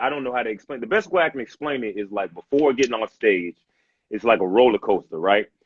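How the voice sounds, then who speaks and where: A man speaks at a very fast pace with an energetic tone and lively intonation. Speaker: stand-up comedian. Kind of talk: casual chat. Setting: video call. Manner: loud; hyper, energetic.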